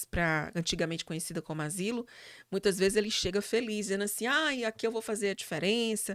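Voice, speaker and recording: On a very clean recording with a silent background and a dry, close sound with no echo, a woman talks at a very fast pace with ordinary pitch variation. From Brazil, Fortaleza (Ceará, Northeast). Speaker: psychologist and university professor. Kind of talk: interview conversation. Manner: hesitant fillers, repetitions.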